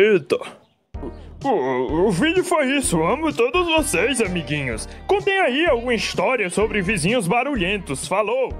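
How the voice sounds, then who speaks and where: A cartoonish character voice from a man, extremely high in pitch, with very wide pitch swings, a moderate pace and faint music in the background. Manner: angry, ranting.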